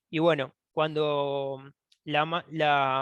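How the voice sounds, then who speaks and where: This man speaks with a fairly high pitch. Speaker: engineering researcher. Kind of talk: technical presentation. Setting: online webinar. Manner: halting, many false starts.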